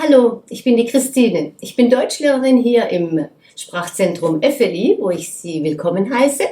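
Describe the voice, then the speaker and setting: At a very slow pace, a woman with a German accent speaks at a fairly high pitch, with very wide pitch swings and big swings in loudness over noticeable background noise. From Germany. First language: German (speaking French). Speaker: German teacher. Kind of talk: promotional self-introduction. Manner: hesitant, many fillers.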